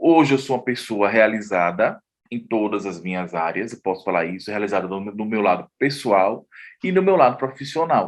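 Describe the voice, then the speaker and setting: Over a quiet background, a man with a plain, everyday voice and a fairly low pitch talks at a moderate pace, with ordinary pitch variation and big swings in loudness. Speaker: journalist and artist. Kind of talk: interview testimony.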